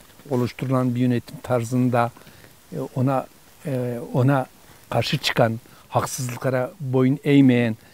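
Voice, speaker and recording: Noticeable background noise sits behind a man's medium-pitched voice. He speaks at a fairly slow pace. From Dersim, eastern Turkey. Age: 60s. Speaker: interviewee, local elder. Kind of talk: interview, personal recollection. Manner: halting, many fillers.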